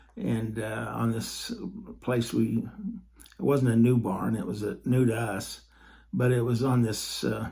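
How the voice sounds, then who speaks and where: A man speaks in a somewhat breathy voice. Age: 70s. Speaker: podcaster telling personal faith stories. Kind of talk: personal storytelling monologue. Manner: halting, many fillers and repeats.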